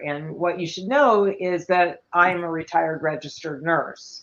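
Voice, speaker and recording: A woman's fairly low voice at a fairly slow pace, a plain, everyday voice. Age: 60s. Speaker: retired nurse, panel guest. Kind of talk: panel discussion.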